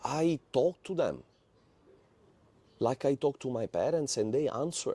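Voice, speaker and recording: The man speaks at a fairly slow pace. The sound is dry and close, with no echo. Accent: Sicilian. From Italy, Palermo. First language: Italian. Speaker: former satanist giving testimony. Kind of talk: testimony.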